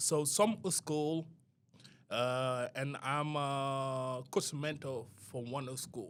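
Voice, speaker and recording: With a Senegalese accent and a bright, sharp tone, a man speaks at a fairly high pitch and a very slow pace, pausing long and often, on a very clean recording with a silent background. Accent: foreign accent, Senegalese. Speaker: youth soccer coach mentor. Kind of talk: podcast interview. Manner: non-native halting speech.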